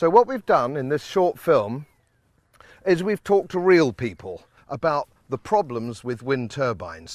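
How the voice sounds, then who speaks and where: At a fairly slow pace, a man with a British accent talks in a fairly high pitch with very wide pitch swings. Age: 60s. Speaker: politician. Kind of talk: documentary introduction. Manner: emphatic.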